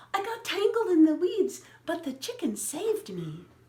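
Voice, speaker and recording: A woman puts on a squeaky character voice at an extremely high pitch, speaking at a moderate pace. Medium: read story.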